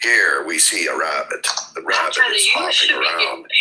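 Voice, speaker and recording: A man puts on a character voice and keeps to a moderate pace. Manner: solemn, narrating.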